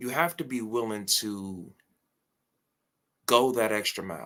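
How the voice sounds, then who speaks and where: A man is speaking. His pitch is medium. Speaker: reaction streamer. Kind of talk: motivational rant. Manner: loud; animated.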